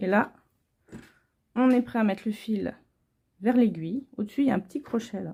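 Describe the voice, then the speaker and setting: Somewhat breathy and dark, mellow in tone, a woman speaks fairly high and fairly slowly with ordinary pitch variation. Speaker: home sewer. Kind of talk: sewing tutorial. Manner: casual, informal.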